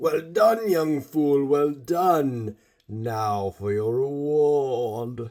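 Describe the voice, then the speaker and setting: A man puts on a character voice pitched fairly high. He speaks at a very slow pace. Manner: menacing, sinister.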